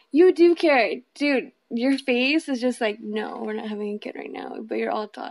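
An ordinary speaking voice moves at a moderate pace with hardly any pauses and lively intonation. Its loudness swings widely. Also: woman, fairly high pitch for a woman. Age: 30s. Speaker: host's girlfriend. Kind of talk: casual chat.

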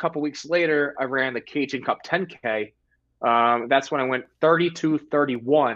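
A man speaks in a plain, everyday voice with a fairly high pitch. His pace is fairly slow and his pitch variation ordinary. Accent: American. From Delaware, US. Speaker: competitive distance runner. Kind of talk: casual chat. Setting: video call.

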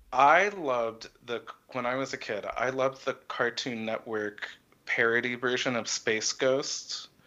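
A man with an American accent, medium-pitched and bright, sharp in tone, at a fairly slow pace with ordinary pitch variation. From Texas and Connecticut. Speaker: composer. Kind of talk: casual interview.

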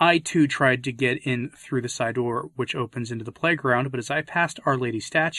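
The voice is a natural reading voice, and its pitch varies in an ordinary way.

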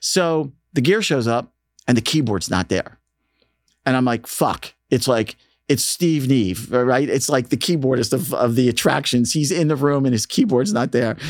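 A man with an American accent and a medium pitch, a plain, everyday voice, very even loudness, lively intonation and a moderate pace. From Philadelphia, Northeast. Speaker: radio DJ and station manager. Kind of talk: casual interview. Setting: studio.

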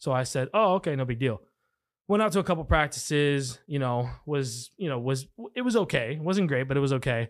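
Lively intonation at a fairly quick pace, on a very clean recording with a silent background. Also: man, fairly high pitch for a man. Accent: American. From Texas. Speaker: pilot and former college football and rugby player. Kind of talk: casual chat. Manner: animated.

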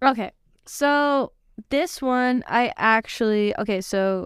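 A woman's fairly high-pitched voice, a normal speaking voice with ordinary pitch variation and a dry, close sound with no echo. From US, Mexican-American family. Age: 20s. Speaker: college student and soccer player. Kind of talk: casual chat; short prepared speech recap.

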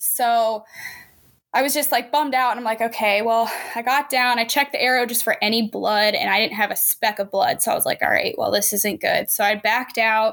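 Speaking at a fairly quick pace, a woman has a plain, everyday voice with a fairly high pitch and ordinary pitch variation. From Pennsylvania. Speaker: hunter and outdoor filmmaker. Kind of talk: casual chat.

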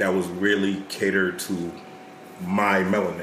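The recording has noticeable background noise and audible room echo. A man with a fairly low pitch talks at a moderate pace. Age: 30s. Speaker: podcast guest. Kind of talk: casual chat.

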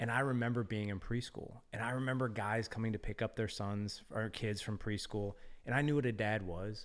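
On a very clean recording with a silent background, a man uses a normal speaking voice at a medium pitch, talking at a fairly quick pace with fairly even intonation. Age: 40s. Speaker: fatherhood podcast host and community founder. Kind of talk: casual interview conversation.

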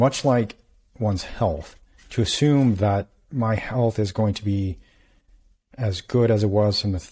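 A somewhat breathy voice with a dark, mellow tone speaks at a fairly slow pace with ordinary pitch variation, in a very clean recording with a silent background. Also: man. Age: 40s. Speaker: physician and podcast host. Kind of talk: interview.

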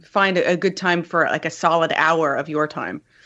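Here is a woman with a fairly low pitch. She talks at a fairly quick pace. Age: 30s. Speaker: game writer. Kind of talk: casual interview. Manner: halting. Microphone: new mic.

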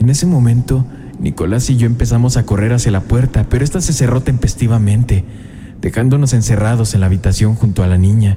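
A man's medium-pitched voice at a fairly quick pace, with very even loudness, ordinary pitch variation and noticeable background noise. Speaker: horror podcast host reading a listener's story. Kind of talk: ghost story telling, first-person scary narration. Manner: hushed, suspenseful, building dread.

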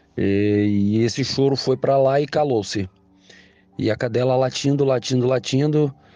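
Moderately paced male speech, medium in pitch, with a dark, mellow tone. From Brazil, Espírito Santo (Vitória). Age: 40s. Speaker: listener sharing a story. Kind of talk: recorded personal story.

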